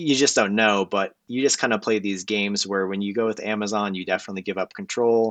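A man speaks with a normal speaking voice at a fairly quick pace, with hardly any pauses. His pitch is fairly low, his intonation fairly even, and the background quiet. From United States, moved around. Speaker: electronics vendor and engineer. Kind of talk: casual interview.

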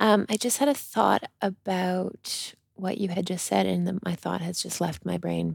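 With a slight Canadian accent, a woman speaks at a fairly slow pace with hardly any pauses, in a dry, close sound with no echo. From Canada. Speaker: podcast co-host, yoga retreat leader. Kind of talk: casual podcast chat. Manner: pauses, searches for words.

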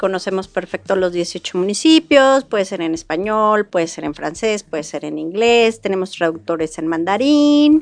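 Delivered at a moderate pace with hardly any pauses, the speech shows very wide pitch swings. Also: woman, medium pitch for a woman. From Mexico, Querétaro. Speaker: tourism business owner. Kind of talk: interview.

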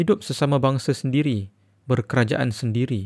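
Recorded very cleanly against a silent background with a dry, close sound and no echo, a man at medium pitch talks at a fairly slow pace in an ordinary speaking voice with ordinary pitch variation. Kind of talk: audiobook reading aloud of a historical political text. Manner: formal, measured, even-paced literary delivery.

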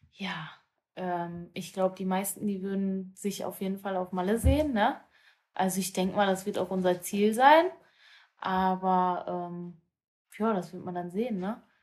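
A woman speaks at a medium pitch and a fairly slow pace. Her intonation stays fairly even, broken by long, frequent pauses. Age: 20s. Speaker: amateur women's football player. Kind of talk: casual chat.

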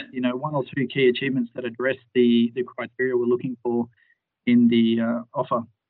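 The man's medium-pitched voice holds a monotone, flat intonation. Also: fairly quick pace. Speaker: HS team lead, line manager. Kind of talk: interview Q&A. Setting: phone or video call.

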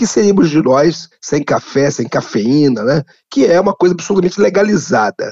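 A man speaks with a fairly high pitch. His voice has vocal fry. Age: 60s. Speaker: anthropologist, professor. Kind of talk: interview.

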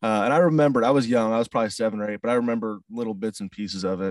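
A man's fairly low voice with a Midwestern US accent and ordinary pitch variation, in a dry, close sound with no echo. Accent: US Midwest. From St. Louis, Missouri, US Midwest. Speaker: country singer-songwriter. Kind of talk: casual interview. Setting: video call.

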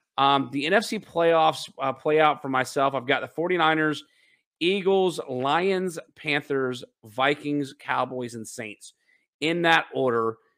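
A bright, sharp voice moves at a very slow pace on a very clean recording with a silent background. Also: man, fairly high pitch for a man, ordinary pitch variation. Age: 30s. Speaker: sports podcast host. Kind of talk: casual chat.

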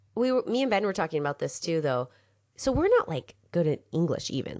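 A woman's fairly low voice with lively intonation at a fairly quick pace. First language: English (learning Spanish). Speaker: podcast co-host, language learner. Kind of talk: casual chat.

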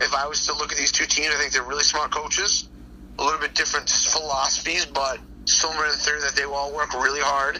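A man rattles off words very fast while noticeable noise runs in the background. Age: 40s. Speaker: football coach. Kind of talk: casual interview. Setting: phone call.

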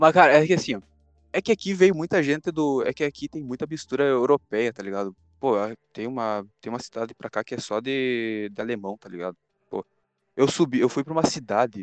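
A man at a fairly quick pace, lively intonation and big swings in loudness, in a dry, close sound with no echo. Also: medium pitch for a man. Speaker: podcast host. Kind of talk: casual chat.

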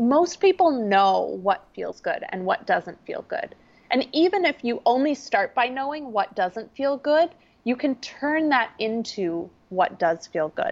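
Energetic and high-pitched, a woman with an Upper Midwest accent speaks at a fairly slow pace with very wide pitch swings. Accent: Upper Midwest American. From US Midwest, small-town Minnesota. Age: 30s. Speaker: entrepreneur and life coach. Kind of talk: podcast interview.

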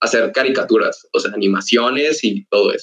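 This is a man talking. He moves along at a moderate pace. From Mexico, Ciudad Victoria (Tamaulipas). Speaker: animation student. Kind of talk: casual podcast interview. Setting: online voice call.

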